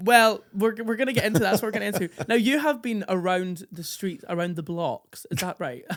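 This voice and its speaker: Fairly quick, upbeat speech with hardly any pauses against noticeable background noise. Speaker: drag queen and podcast host. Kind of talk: casual podcast conversation. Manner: camp, upbeat.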